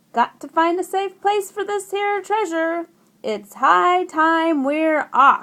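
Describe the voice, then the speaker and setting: A woman puts on a character voice at an extremely high pitch, speaking very slowly. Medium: read story. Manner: gruff, bellowing.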